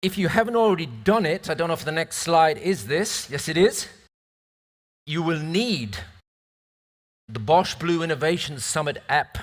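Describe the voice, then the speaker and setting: Long, frequent pauses from a high-pitched man with a British accent and lively intonation. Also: moderate pace. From northern England, near Scottish border. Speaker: event moderator. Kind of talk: conference moderation. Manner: hesitant, with fillers and repetitions.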